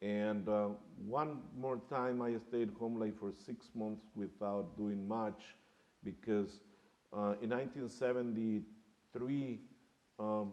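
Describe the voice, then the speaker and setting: In a Spanish accent, a man talks very slowly at a fairly low pitch, his intonation fairly even, with audible room echo around him. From Mexico (Guadalajara), moved to Chicago as a child. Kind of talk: panel discussion, personal story. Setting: museum theater panel with audience.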